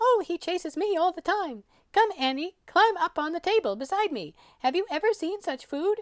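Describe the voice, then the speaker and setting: This is a put-on character voice at a moderate pace. The female-sounding voice is squeaky and extremely high in pitch. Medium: read story. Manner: grand, lively.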